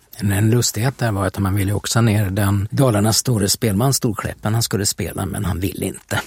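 A man's fairly low-pitched voice at a fairly quick pace, hardly any pauses, fairly even intonation, dry, close sound with no echo, and noticeable background noise. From Sweden, Västervik. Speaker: podcast host. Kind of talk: casual conversation about history. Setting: studio.

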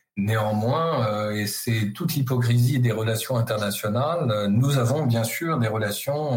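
Noticeable background noise accompanies a man speaking at a fairly slow pace. His pitch sits at a medium level with ordinary variation. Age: 50s. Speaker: university professor, China specialist. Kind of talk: interview. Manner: hesitant, many filler words.

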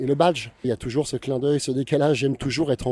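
This is a man's voice. It carries a dark, mellow tone. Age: 50s. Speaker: photographer. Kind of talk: interview. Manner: halting.

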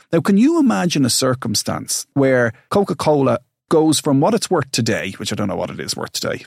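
In a very clean recording with a silent background and a dry, close sound with no echo, a man with an Irish accent speaks at a fairly quick pace, his fairly high pitch carried by lively intonation. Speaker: financial advisor and podcast host. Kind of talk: casual educational chat.

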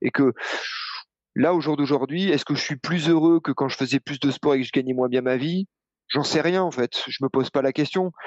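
A man speaks at a moderate pace in a normal speaking voice, fairly high for a man, with ordinary pitch variation. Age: 40s. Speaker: running coach. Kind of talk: casual chat.

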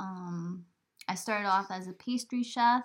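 Soft-spoken, a woman talks with medium pitch, ordinary pitch variation and a bright, sharp tone. The recording is very clean, with a silent background. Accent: American. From New York. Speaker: farmer and podcast host. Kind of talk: casual chat. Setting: home recording by laptop.

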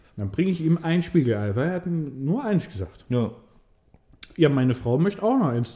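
A man's fairly high, somewhat breathy voice with a dark, mellow tone and very wide pitch swings, at a fairly quick pace. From Swabia, Germany. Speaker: podcast co-host, restaurant server. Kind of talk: casual chat. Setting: studio, in person.

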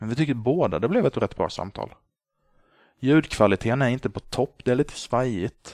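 A man with an unremarkable speaking voice talks fairly quickly with ordinary pitch variation, the sound dry and close with no echo and the background quiet. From Sweden, Småland (Gnosjö). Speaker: podcast host. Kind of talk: solo podcast monologue.

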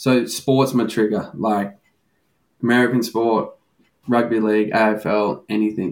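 With an Australian accent, a man talks at a fairly slow pace, his medium-pitched voice keeping a fairly even intonation. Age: 20s. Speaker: recovering gambling addict. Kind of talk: candid interview.

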